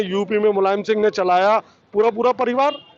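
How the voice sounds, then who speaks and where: With noticeable background noise, a man speaks in a high voice. His pitch varies in an ordinary way. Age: 60s. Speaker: trader association leader. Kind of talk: street interview. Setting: outdoors in a market.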